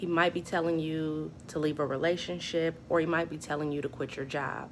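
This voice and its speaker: A woman with a very deep, low pitch speaks shakily at a moderate pace. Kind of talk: personal testimony talk to camera. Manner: shaky.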